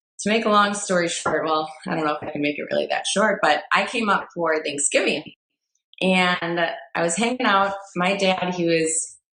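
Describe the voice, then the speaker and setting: A woman with a Midwestern accent, a bright, sharp tone, medium pitch, ordinary pitch variation, and a moderate pace. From US Midwest, Fond du Lac, Wisconsin. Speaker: personal trainer and entrepreneur. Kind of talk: personal story in podcast interview.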